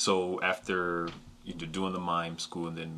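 In a flat monotone, a man speaks with a very deep, low pitch. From northern US East Coast. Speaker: podcast host, acting student. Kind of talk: interview.

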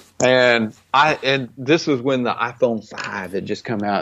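A man speaks with an American accent. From Oklahoma, Stillwater. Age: 30s. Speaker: photographer. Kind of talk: casual chat. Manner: animated.

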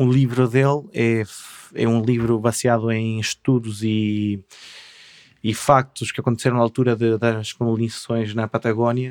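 Behind speech at a medium pace, the background stays quiet. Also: man. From Chile, Patagonia (Punta Arenas area). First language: Spanish (speaking Portuguese). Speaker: artist and craftsman. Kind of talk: casual interview chat. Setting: studio.

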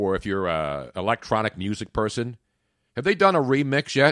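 A man speaks with a Philadelphia accent at a medium pitch, his voice making very wide pitch swings. The recording is very clean with a silent background and a dry, close sound with no echo. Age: 60s. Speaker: sports radio host. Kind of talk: casual chat. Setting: studio. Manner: animated.

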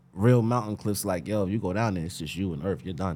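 Very fast and with lively intonation, a man speaks in a dark, mellow tone. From Westchester County, New York (Greenburgh). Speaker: barber. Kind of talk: casual interview chat.

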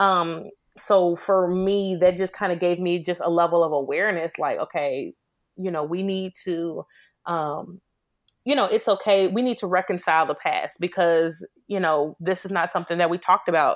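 With an American accent, a woman talks at a moderate pace in an unremarkable speaking voice, fairly low in pitch with fairly even intonation, on a very clean recording with a silent background. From Chicago. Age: 20s. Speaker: IT worker and single mother. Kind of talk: podcast interview about personal testimony.

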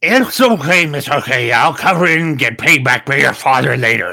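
A man's fairly high, raspy voice at a moderate pace, with lively intonation. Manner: commanding, curt.

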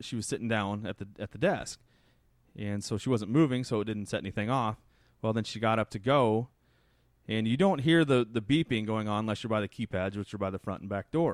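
A man with an American accent, his fairly low voice moving at a fairly quick pace. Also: ordinary pitch variation, dry, close sound with no echo. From US Midwest, south central Nebraska. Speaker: grocery store owner. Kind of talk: interview.

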